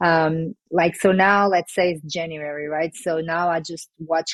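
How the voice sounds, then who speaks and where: Her intonation fairly even, a woman with a Portuguese accent speaks at a fairly low pitch. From Portugal. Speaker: former pro basketball player turned sports agent. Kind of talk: podcast interview.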